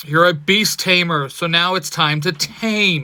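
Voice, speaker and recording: A put-on character voice, raised and projected, at a fairly slow pace with ordinary pitch variation. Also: man. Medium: read story. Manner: terse, decisive.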